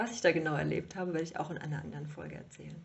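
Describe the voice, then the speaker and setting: A woman's fairly low voice with vocal fry. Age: 30s. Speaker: podcast host, yoga teacher. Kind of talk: solo monologue podcast.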